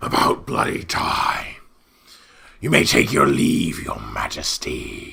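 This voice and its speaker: A man's growling, put-on character voice at a very slow pace. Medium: actual play. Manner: impatient, huffy.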